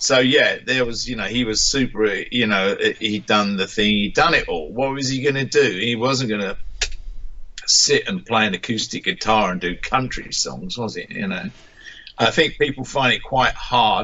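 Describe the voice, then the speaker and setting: Against noticeable background noise, a man with an English accent talks at a moderate pace with lively intonation. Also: medium pitch for a man. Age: 60s. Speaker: musician. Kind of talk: interview. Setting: radio interview. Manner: halting.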